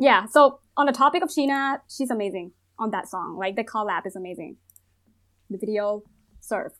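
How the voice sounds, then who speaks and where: Someone with a Thai accent speaks with lively intonation and long, frequent pauses in a very clean recording with a silent background. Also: woman, fairly high pitch for a woman, moderate pace. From Thailand. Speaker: psychologist guest. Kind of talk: casual chat.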